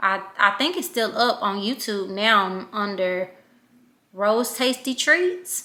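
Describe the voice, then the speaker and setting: On a very clean recording with a silent background, a woman in a Louisiana accent speaks at a very slow pace, her fairly high voice bright and sharp in tone, with lively intonation. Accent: Louisiana country. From Louisiana, Shreveport. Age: 30s. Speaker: vlogger. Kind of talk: casual vlog talk.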